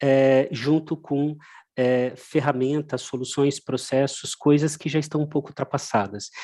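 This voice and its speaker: Against a quiet background, a man with a Brazilian accent speaks fairly slowly, his fairly high voice dark and mellow with fairly even intonation. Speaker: technology company presenter. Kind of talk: webinar presentation. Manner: many hesitations and fillers.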